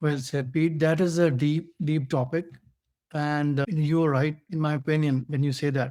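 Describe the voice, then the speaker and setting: A man's fairly high-pitched voice with a dark, mellow tone and an Indian accent, monotone and flat, at a moderate pace. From India (Bhilai). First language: Hindi. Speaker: podcast co-host. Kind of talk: casual discussion. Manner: halting, many fillers.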